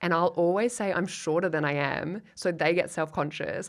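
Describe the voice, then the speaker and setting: The speaker is a woman with a fairly low pitch. The recording is very clean and the background silent. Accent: Australian. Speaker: comedian. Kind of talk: casual chat. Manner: animated.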